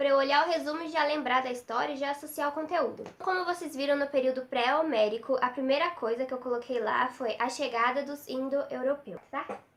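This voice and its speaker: This woman has a high-pitched voice, speaking at a moderate pace with ordinary pitch variation. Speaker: study tips vlogger. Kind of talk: tutorial. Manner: casual, chatty.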